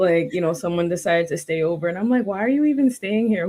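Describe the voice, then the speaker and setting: With a New York accent, a woman speaks at a medium pitch and a fairly quick pace, her intonation lively. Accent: New York American English. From New York, Queens. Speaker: language tutor. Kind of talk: interview conversation.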